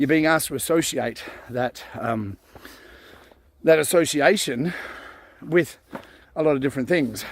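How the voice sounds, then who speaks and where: A relaxed man's fairly high voice in an Australian accent, at a moderate pace with ordinary pitch variation and long, frequent pauses. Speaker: vlogger. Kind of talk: casual monologue. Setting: outdoors on a forest walk. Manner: relaxed, hesitant with fillers.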